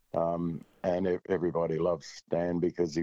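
A man's very deep, low voice at a moderate pace, dark and mellow in tone, with an Australian accent, a dry, close sound with no echo, and a quiet background. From Australia, rural central Victoria. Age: 70s. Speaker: country music singer-songwriter. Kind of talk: casual interview chat.

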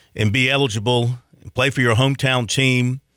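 A man's medium-pitched, bright and sharp voice in a Southern US accent at a moderate pace, dry and close with no echo, on a very clean recording with a silent background. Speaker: sports radio host. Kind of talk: sports talk radio. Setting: studio.

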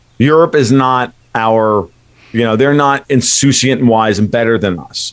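At a moderate pace and medium pitch, a man talks with an ordinary speaking voice and ordinary pitch variation. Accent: American. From United States. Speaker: blogger and market analyst. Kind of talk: radio interview.

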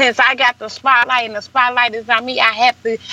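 A woman with an American accent, high-pitched with a bright, sharp tone, in a dry, close sound with no echo. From St. Louis, Missouri. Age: 30s. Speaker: hairstylist and entrepreneur. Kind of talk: interview.

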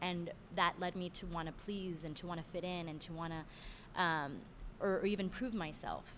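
Her pitch fairly low, a woman uses an ordinary speaking voice with fairly even intonation at a moderate pace. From Miami, Florida, Cuban-Venezuelan family. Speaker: director and choreographer. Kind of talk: interview.

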